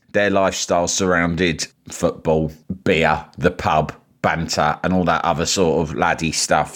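A man with a London accent. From London, England. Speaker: journalist and broadcaster. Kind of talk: interview.

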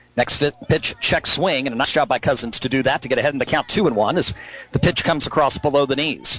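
Noticeable background noise sits under a man's voice. The sound is dry and close with no echo. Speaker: radio sports announcer. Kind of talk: live sports commentary, play-by-play. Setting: outdoors at ballpark, live radio broadcast. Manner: rapid-fire, fluent play-by-play.

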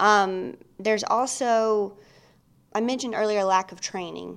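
In a very clean recording with a silent background, a woman speaks with a Mississippi accent. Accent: Southern US (Mississippi). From Mississippi, US South. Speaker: licensed professional counselor. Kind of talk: casual interview chat. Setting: studio podcast.

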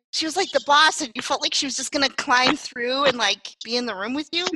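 A woman's high voice is raised and projected. Her pitch varies in an ordinary way. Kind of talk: casual chat.

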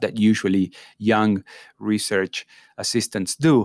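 In a dry, close sound with no echo, a man talks in a fairly low pitch with an Argentine accent. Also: very clean recording, silent background. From Argentina (Córdoba province). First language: Spanish. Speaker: professor. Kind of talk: interview conversation. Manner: hesitant, many fillers.

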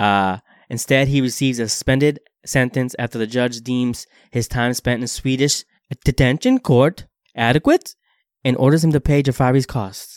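A man with an American accent and a normal speaking voice, medium pitch, fairly even intonation and moderate pace, in a dry, close sound with no echo. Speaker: podcast host. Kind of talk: casual banter, comedic podcast chat. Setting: recorded podcast, two hosts. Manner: jokey, bantering.

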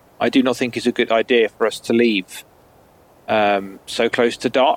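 A man talks at a fairly slow pace with fairly even intonation. The recording is dry and close, with no echo. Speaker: tabletop role-playing game player. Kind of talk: casual chat.

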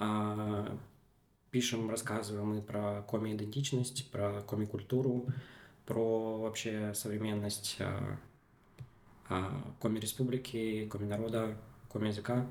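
Audible room echo surrounds a man speaking at a fairly slow pace. His intonation is monotone and flat, with long, frequent pauses. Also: fairly low pitch for a man. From Komi Republic, Russia. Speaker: media founder and decolonial activist. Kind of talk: interview conversation. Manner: halting, many filler sounds.

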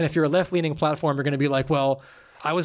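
In a very clean recording with a silent background, a man speaks with an American accent. His pitch is fairly high and his intonation fairly even. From New York, Long Island. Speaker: physical therapist and former military rescueman. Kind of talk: interview. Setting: studio, in person. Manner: casual, frequent filler words.

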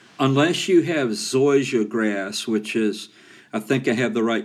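Here is a man at medium pitch, speaking at a fairly slow pace in a plain, everyday voice. The recording is very clean, with a silent background. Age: 60s. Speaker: home maintenance show host, roofer. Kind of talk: solo podcast tutorial.

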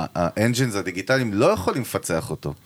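At a very fast pace, a man with a fairly low pitch makes very wide pitch swings. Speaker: podcast host. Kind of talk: casual chat. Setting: recording studio. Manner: fast, energetic.

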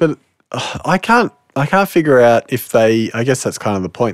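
In a dry, close sound with no echo, a man at medium pitch talks at a moderate pace with very wide pitch swings. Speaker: podcast host. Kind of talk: casual chat.

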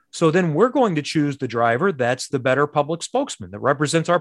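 In a dry, close sound with no echo, a fairly high-pitched man with a Midwestern American accent speaks at a fairly quick pace. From Indianapolis, Indiana. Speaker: sports broadcaster. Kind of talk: interview.

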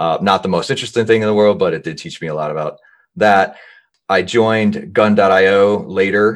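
A man talks in an American accent. His intonation stays fairly even. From New Jersey / New York area. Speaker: sales executive, company co-founder. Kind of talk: casual interview.

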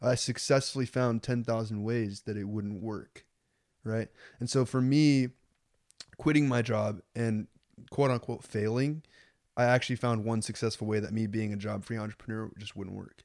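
Medium-pitched and fairly even in intonation, a man speaks at a moderate pace in a plain, everyday voice. The recording is very clean, with a silent background. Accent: American. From Lincoln, US. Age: 20s. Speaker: young entrepreneur and YouTuber. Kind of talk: casual chat.

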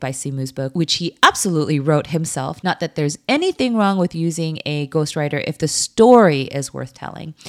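In a very clean recording with a silent background, a woman with an American accent speaks at a very deep, low pitch. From US, Korean American. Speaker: podcast host, former lawyer. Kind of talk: scripted narration.

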